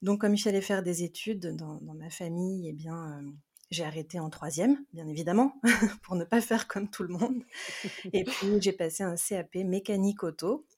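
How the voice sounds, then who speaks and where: Somewhat breathy and dark, mellow in tone, a woman speaks at medium pitch and a moderate pace, with ordinary pitch variation and big swings in loudness. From France. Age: 30s. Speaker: tarot reader. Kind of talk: interview.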